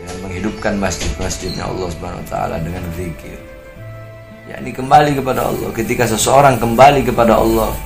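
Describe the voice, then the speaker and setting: Over music in the background, a man with a fairly low voice talks at a very fast pace with lively intonation and big swings in loudness. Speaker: Islamic preacher. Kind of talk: Islamic sermon answering a question. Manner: soft-spoken.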